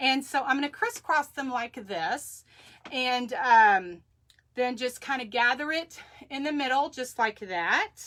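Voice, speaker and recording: A woman's high-pitched voice with an American accent, bright, sharp tone and lively intonation. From Texas. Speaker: crafter. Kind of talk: live craft tutorial. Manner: chatty, halting with fillers.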